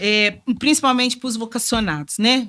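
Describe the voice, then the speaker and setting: A woman is speaking. Her tone is bright and sharp. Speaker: religious sister and community formator. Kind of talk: testimony in podcast interview. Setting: studio. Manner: informal, colloquial.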